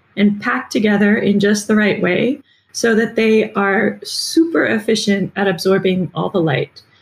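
Speaking at a fairly slow pace, a woman with an American accent has a somewhat breathy, fairly high voice with ordinary pitch variation. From US Midwest, Michigan. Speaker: marine biologist. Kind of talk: interview.

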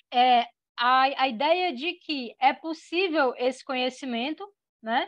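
Against a quiet background, a woman with a high voice speaks at a fairly slow pace with ordinary pitch variation. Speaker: philosophy teacher. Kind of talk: lecture. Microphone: video call.

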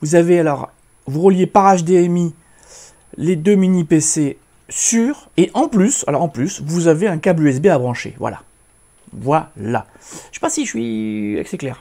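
A dark, mellow tone with lively intonation, a very slow pace and long, frequent pauses over a quiet background. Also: man. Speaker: tech YouTuber. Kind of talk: product demo tutorial. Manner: animated. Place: home room. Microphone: phone near.

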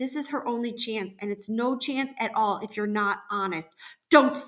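The speaker uses an unforced reading voice that has ordinary pitch variation.

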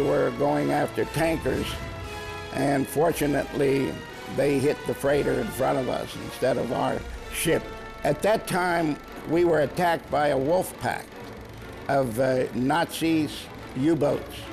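A man with an American accent speaks at a fairly slow pace with long, frequent pauses. His loudness stays very even and his pitch varies in an ordinary way, with clear music in the background. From USA. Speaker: WWII navy veteran. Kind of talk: interview answer. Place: studio.

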